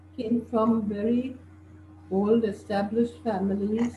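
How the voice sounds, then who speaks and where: Speaking at a very slow pace, a woman uses a fairly high pitch with vocal fry. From India, Bombay. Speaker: interviewee. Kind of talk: interview.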